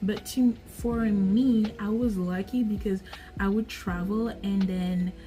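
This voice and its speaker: Over music in the background, a woman speaks at a very slow pace and a medium pitch. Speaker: vlogger. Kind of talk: casual vlog monologue. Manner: animated.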